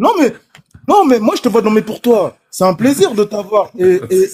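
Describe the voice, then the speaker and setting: This man's pitch is high, with ordinary pitch variation. He speaks at a fairly slow pace. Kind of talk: casual chat. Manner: loud; animated.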